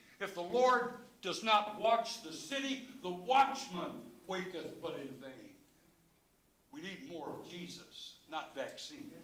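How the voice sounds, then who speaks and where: A man with an American accent speaks very slowly in a high voice, his pitch swinging very widely and his loudness rising and falling sharply, with audible room echo. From Chicago. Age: 70s. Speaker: public commenter at school board meeting. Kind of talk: public comment speech. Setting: public board meeting. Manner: impassioned; halting, with many fillers.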